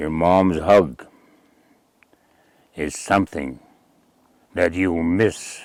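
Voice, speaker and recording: A man speaks at a very slow pace in a very deep, low voice, leaving long, frequent pauses. His pitch variation is ordinary. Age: 70s. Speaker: community elder. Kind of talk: interview. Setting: at his home trapline.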